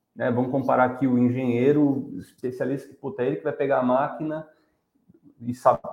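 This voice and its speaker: Intonation stays fairly even at a fairly quick pace. The voice is a plain, everyday voice. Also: man. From São Paulo, Brazil. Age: 40s. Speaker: design and innovation professional. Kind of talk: casual interview on a live stream.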